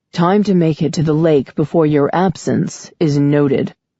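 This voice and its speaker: A put-on character voice, raspy and middle-pitched, at a moderate pace. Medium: read story. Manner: toneless, emotionless, evasive.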